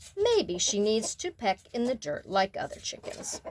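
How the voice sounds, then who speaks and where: At a moderate pace, a woman speaks in a put-on character voice with a high pitch. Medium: read story.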